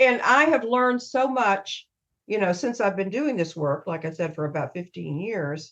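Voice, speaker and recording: At a moderate pace, a woman with a slight Southern US accent talks in very wide pitch swings. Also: medium pitch for a woman. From US South. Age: 70s. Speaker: emotional wellness coach. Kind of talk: podcast interview. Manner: laughs often.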